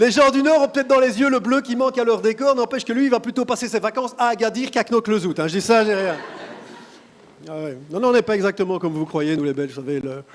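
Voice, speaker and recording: The speech comes at a very fast pace with very wide pitch swings. Noticeable background noise is present. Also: man, high pitch for a man. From Belgium. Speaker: stand-up comedian. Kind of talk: stand-up. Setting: stage with audience.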